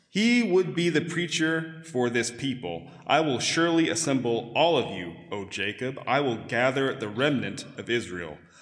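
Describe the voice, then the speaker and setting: Music plays in the background as a man speaks with hardly any pauses. His medium pitch moves in very wide swings. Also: moderate pace. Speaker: scripture reader. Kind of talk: reading aloud. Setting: church.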